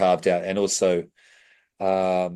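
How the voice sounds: A man speaks slowly in a low, clear, smooth, slightly mellow voice with monotone, flat intonation.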